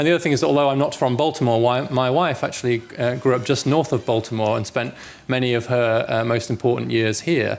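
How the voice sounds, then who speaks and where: Speaking very fast with hardly any pauses, a man with a British accent keeps a medium pitch, ordinary pitch variation and very even loudness. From England. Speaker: policy researcher and author. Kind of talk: public lecture. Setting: lecture hall with audience.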